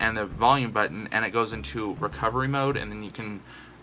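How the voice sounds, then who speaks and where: Over music in the background, the speaker goes at a fairly quick pace with ordinary pitch variation. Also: man. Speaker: YouTuber. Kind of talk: casual vlog monologue. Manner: fast.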